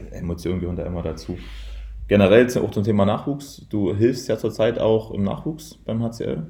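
Vocal fry colors a dark, mellow tone that moves at a moderate pace with lively intonation. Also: man, fairly low pitch for a man. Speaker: handball coach. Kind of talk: interview. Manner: indistinct, slurred.

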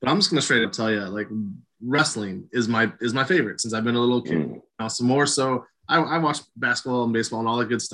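A man's very fast speech with a medium pitch, a bright, sharp tone and ordinary pitch variation. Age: 40s. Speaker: wrestling podcast host. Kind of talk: interview.

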